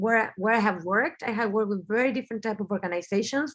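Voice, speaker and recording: In a Spanish accent, a woman talks at a very fast pace with a fairly high pitch and ordinary pitch variation. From Argentina, Buenos Aires. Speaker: business strategist and designer. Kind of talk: webinar talk. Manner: halting, with frequent fillers and repeats.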